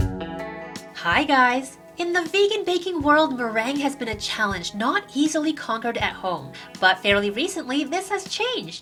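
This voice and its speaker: The delivery is upbeat, with very wide pitch swings. Music plays in the background. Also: woman, high pitch for a woman, moderate pace. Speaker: vegan cooking channel host. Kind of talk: cooking tutorial narration.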